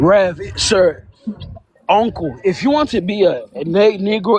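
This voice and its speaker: A man's voice, high in pitch, with lively intonation. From Cameroon. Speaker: panel participant. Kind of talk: heated debate.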